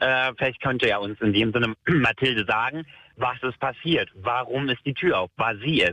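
A man talks at a medium pitch and a moderate pace, with ordinary pitch variation. It is an unremarkable speaking voice. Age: 20s. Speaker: caller. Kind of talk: storytelling on phone-in.

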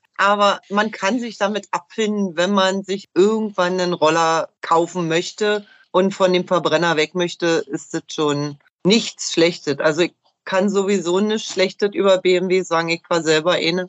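At a fairly slow pace, a woman uses a normal speaking voice at medium pitch. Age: 40s. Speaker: motorcyclist. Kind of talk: casual chat.

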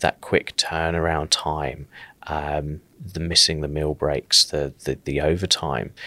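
In a southern English accent, a man with a very deep, low pitch and vocal fry speaks at a moderate pace in a bright, sharp tone, recorded dry and close with no echo in a very clean recording against a silent background. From southern England, South Coast. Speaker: paramedic and paramedicine lecturer. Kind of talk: podcast interview.

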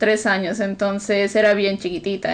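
A woman speaks at a medium pitch and a moderate pace in a flat monotone. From Peru. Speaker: podcast co-host. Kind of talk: casual chat.

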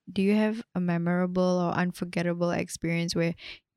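A woman's fairly low voice at a moderate pace, monotone and flat in intonation. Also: dry, close sound with no echo. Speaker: podcast host and writer. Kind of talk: casual interview conversation.

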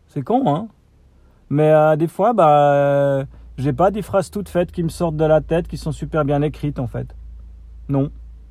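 The tone is dark and mellow and somewhat breathy. The pace is fairly slow. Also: man. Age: 40s. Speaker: podcaster. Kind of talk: solo vlog rant. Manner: halting, many hesitations.

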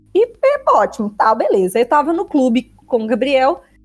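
Speaking at a moderate pace, a woman has a high pitch. Her intonation is lively. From Minas Gerais, Belo Horizonte. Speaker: podcast co-host. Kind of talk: casual chat.

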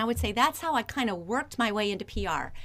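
In a very clean recording with a silent background, a woman with a Midwestern American accent speaks at a fairly high pitch in a bright, sharp, energetic, enthusiastic tone. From Northeast Ohio. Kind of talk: interview conversation. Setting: radio studio.

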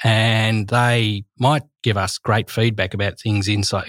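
A man with an Australian accent speaks at a fairly low pitch in a monotone with flat intonation, on a very clean recording with a silent background. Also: dry, close sound with no echo. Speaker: teacher. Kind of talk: casual chat.

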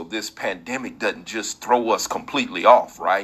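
Moving at a moderate pace, a man talks in a bright, sharp tone. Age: 40s. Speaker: faith-based motivational podcast host. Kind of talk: inspirational devotional monologue.

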